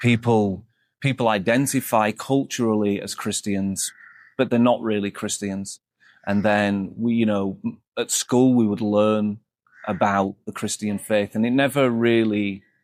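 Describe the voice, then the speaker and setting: In a Yorkshire accent, a man speaks at a fairly low pitch with fairly even intonation, the sound dry and close with no echo on a very clean recording with a silent background. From northern England, Leeds. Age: 40s. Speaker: monk. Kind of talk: interview testimony. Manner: halting, frequent repetitions.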